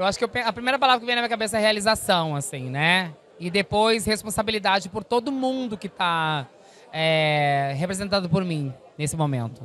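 With very wide pitch swings, a woman speaks at a fairly quick pace over light background noise, the sound dry with no echo. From southern Brazil, interior of Rio Grande do Sul. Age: 40s. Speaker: actress and singer; actress. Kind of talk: press interview. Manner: animated. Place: hall. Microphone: handheld.

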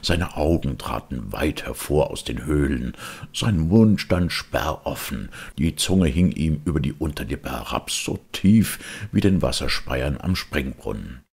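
A man with extremely low pitch, vocal fry, lively intonation and a fairly slow pace. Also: slightly mellow tone.

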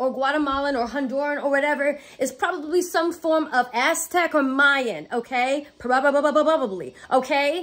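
A woman's high voice, animated and furious in tone. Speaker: video blogger. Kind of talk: angry rant. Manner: furious, profane, sarcastic; fast, animated, emphatic. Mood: angry yet gleeful. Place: home room. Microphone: phone near.

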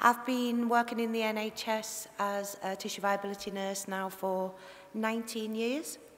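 With light background noise behind her, a woman speaks at a fairly slow pace in a monotone, flat intonation. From Liverpool area. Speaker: tissue viability nurse giving a conference presentation. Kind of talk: conference presentation. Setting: conference talk. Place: hall. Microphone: headset.

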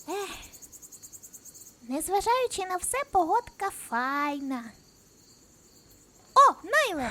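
A put-on character voice speaks at an extremely high pitch with very wide pitch swings. The pace is very slow, with long, frequent pauses. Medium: machinima. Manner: casual, colloquial.

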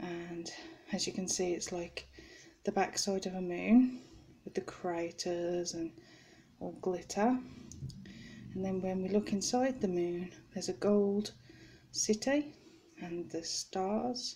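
Somewhat breathy and at a medium pitch, a woman talks at a very slow pace with ordinary pitch variation and long, frequent pauses. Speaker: crafts video maker. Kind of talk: show-and-tell product update. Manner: halting.

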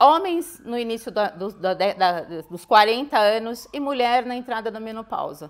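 This woman's pitch sits fairly high, and her intonation is lively. She talks at a fairly slow pace, with big swings in loudness. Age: 50s. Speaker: cardiologist; guest. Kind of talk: interview. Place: studio. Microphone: lapel.

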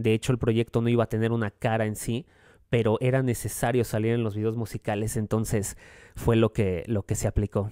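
A man speaks at a fairly quick pace in a dark, mellow tone. His intonation is monotone and flat against a quiet background. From Mexico City. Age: 20s. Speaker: singer-songwriter; guest. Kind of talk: radio interview. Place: studio. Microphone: studio mic.

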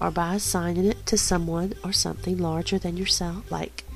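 A woman talks at a medium speed while music plays behind her. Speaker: spirituality teacher. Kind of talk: spiritual teaching narration.

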